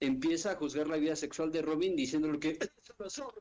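This man's pitch is fairly high. It varies in an ordinary way. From Mexico City. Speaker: occasional podcast co-host. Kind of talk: casual chat.

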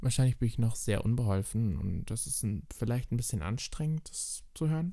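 A man speaks at a medium pitch in a dark, mellow tone with very wide pitch swings. The recording is very clean, with a silent background. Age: 20s. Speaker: drag queen and podcast host. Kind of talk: casual solo podcast monologue.

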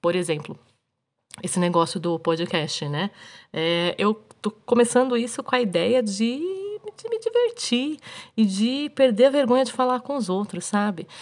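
Her fairly high voice swings very widely in pitch as this woman speaks. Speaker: podcast host. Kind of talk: casual storytelling monologue. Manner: animated.

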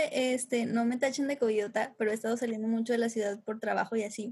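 Using an ordinary speaking voice, a woman talks at a moderate pace with fairly high pitch and fairly even intonation. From Torreón, Coahuila, northern Mexico. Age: 20s. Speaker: musician and film student. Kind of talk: casual chat.

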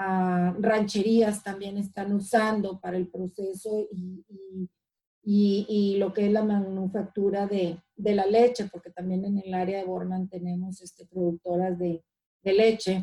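Speaking fairly slowly in a flat monotone at medium pitch, a woman's voice swings widely in loudness. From Mexico (Ciudad Obregón, Sonora). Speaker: community organizer. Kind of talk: interview. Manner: halting, many repetitions and fillers.

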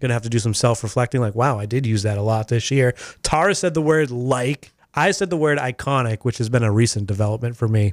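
A man talks at a very fast pace with ordinary pitch variation, recorded with a dry, close sound and no echo. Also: medium pitch for a man. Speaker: radio host. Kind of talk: casual radio banter. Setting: studio.

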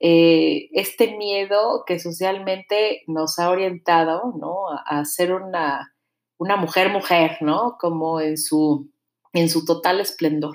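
In a Mexico City accent, a woman talks at a very slow pace. Her voice is fairly low, with fairly even intonation. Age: 30s. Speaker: podcast host, mother and singer. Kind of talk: casual monologue.

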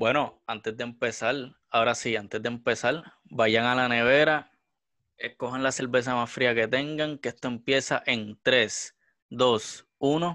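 A man with a Puerto Rican accent, medium pitch and a bright, sharp tone, at a fairly slow pace with fairly even intonation against a quiet background. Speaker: podcast co-host. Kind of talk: casual chat. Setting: studio.

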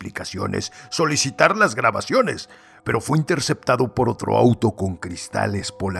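Someone reads in an unforced voice, the intonation lively throughout.

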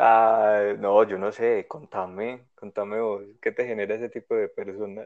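Against a quiet background, the speaker talks at a fairly slow pace in a monotone, flat intonation with hardly any pauses. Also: man, fairly low pitch for a man. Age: 20s. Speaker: podcast co-host. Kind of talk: casual chat.

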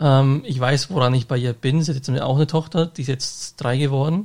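This man talks at a fairly quick pace in a somewhat breathy, medium-pitched voice with fairly even intonation. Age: 30s. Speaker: podcast host and bus driver. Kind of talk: casual chat.

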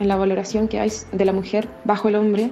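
Amid noticeable background noise, a woman speaks at a fairly high pitch. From Chile, La Serena. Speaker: actress and theatre director. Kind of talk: interview testimony.

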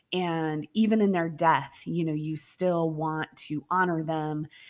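A woman speaks fairly slowly in a plain, everyday voice with fairly even intonation. The recording is very clean, with a silent background. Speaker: podcast host and storyteller. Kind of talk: campfire-style true-crime storytelling, ghost story narration. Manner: hushed, slow and suspenseful, directly addressing listeners.

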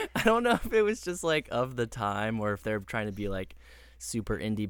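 The speaker is a man with a fairly low voice. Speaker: podcast co-host. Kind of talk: casual chat.

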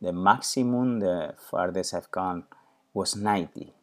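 A man with a Spanish accent, fairly low-pitched and fairly slow, in a very clean recording with a silent background. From Spain. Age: 40s. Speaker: podcast host and personal trainer. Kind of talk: personal monologue. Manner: halting.

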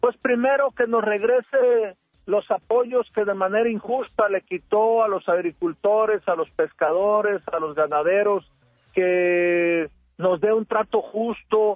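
A high-pitched man speaks at a fairly slow pace, with ordinary pitch variation and very even loudness. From Sinaloa, Mexico. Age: 50s. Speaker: politician. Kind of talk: radio interview.

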